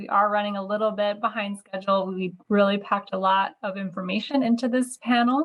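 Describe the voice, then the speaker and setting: A woman talks at a fairly quick pace with hardly any pauses, sounding somewhat breathy. Her intonation stays fairly even. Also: medium pitch for a woman. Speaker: nonprofit advocacy director, webinar host. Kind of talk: webinar moderation.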